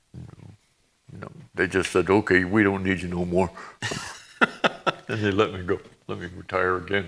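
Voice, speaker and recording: Using long, frequent pauses, a man with an American accent speaks at a moderate pace in a very deep, flat monotone. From upstate New York. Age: 80s. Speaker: retired army sergeant and war veteran. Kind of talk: interview.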